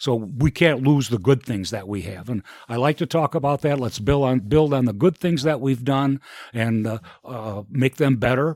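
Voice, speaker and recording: With an American accent, a man talks at a moderate pace in an unremarkable speaking voice with ordinary pitch variation, the sound dry and close with no echo. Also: medium pitch for a man, very clean recording, silent background. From Elgin, Illinois, US Midwest. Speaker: mayor. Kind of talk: interview.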